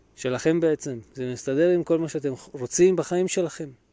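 Against a quiet background, a man with an unremarkable speaking voice talks at a moderate pace and fairly high pitch, with ordinary pitch variation. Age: 30s. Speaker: financial planner and podcast host. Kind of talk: solo podcast talk.

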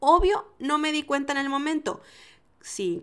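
With a Mexican accent, a woman speaks in an animated tone. She keeps a fairly slow pace. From Mexico. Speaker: food podcast host and entrepreneur. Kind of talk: casual solo podcast monologue.

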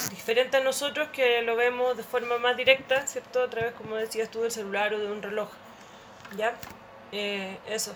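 Against noticeable background noise, a woman with a Chilean accent talks at a fairly high pitch and a moderate pace, with fairly even intonation. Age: 40s. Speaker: anthropologist. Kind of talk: casual chat.

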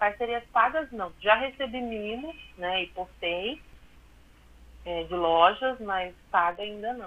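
Her intonation lively, a woman talks at a very slow pace with long, frequent pauses and big swings in loudness. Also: medium pitch for a woman. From southern Minas Gerais, Brazil. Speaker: fashion designer and social media illustrator. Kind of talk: radio interview.

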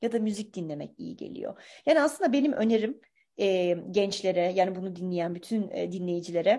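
A woman speaks at a moderate pace with lively intonation, a dark, mellow tone, medium pitch and big swings in loudness. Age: 40s. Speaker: podcast host, life coach. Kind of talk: casual chat.

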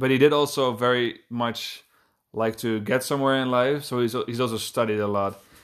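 In a very clean recording with a silent background, a man with a Dutch accent talks at a fairly quick pace, his medium pitch held in a fairly even intonation. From Netherlands, Amsterdam. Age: 20s. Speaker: podcast co-host, furniture maker. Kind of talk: casual chat.

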